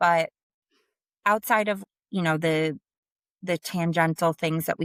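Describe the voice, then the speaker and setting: A woman with a strong New Jersey accent speaks at a fairly slow pace in a very deep, low pitch. The sound is dry and close with no echo, on a very clean recording with a silent background. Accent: thick New Jersey. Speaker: sales leader. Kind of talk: interview conversation.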